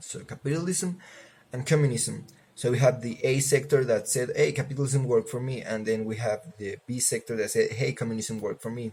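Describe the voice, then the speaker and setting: A Spanish accent colors this somewhat breathy voice with a dark, mellow tone. The pace is fairly quick, with ordinary pitch variation. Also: man, medium pitch for a man. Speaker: student. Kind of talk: class assignment video presentation. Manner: casual, halting with fillers.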